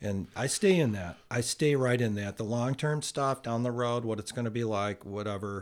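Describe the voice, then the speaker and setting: A man with an unremarkable speaking voice talks at a medium pitch and a moderate pace. His pitch varies in an ordinary way, with hardly any pauses. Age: 60s. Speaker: podcast guest, host's uncle. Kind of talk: casual chat. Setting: in person, face to face.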